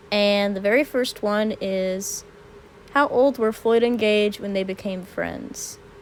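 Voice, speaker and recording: A woman at medium pitch, very slow pace and fairly even intonation, over noticeable background noise. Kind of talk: casual Q&A talk to camera.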